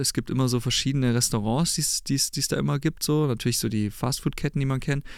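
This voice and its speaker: A man's fairly high-pitched, plain, everyday voice at a fairly quick pace. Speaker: rock band frontman and singer. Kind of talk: casual interview chat. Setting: studio.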